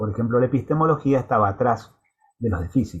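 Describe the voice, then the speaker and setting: The man's pitch sits in the medium range and his pace is fairly quick. There's a somewhat breathy quality to his voice. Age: 60s. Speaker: university lecturer. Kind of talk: lecture. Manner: halting, with many fillers.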